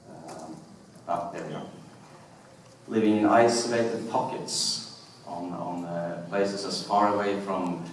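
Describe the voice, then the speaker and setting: A man with a Norwegian accent speaks at a fairly low pitch with ordinary pitch variation, over noticeable background noise and audible room echo. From Norway. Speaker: historian. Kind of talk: lecture. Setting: stage with audience. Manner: halting.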